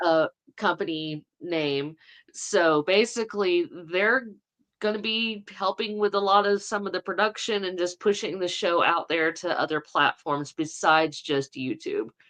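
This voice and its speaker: Speaking with a Southern accent, a woman uses a medium pitch and ordinary pitch variation. Her pace is fairly slow against a quiet background. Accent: Southern, cornbread. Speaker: co-host of a Bigfoot podcast. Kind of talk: casual live-stream chat.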